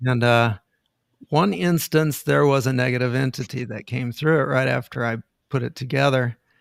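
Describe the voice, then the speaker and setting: An unremarkable speaking voice moves at a moderate pace with ordinary pitch variation, the sound dry and close with no echo. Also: man, medium pitch for a man. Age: 60s. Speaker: inventor and energy healer. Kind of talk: interview.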